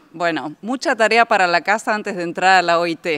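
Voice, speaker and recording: A woman at a fairly slow pace with ordinary pitch variation, very clean recording, silent background. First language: Spanish (speaking French). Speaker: trade union official. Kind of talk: panel talk at a ceremony.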